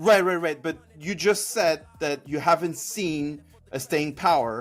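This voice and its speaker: A man with a non-native accent, fairly high in pitch, at a fairly slow pace with ordinary pitch variation. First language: not English. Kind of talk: heated debate.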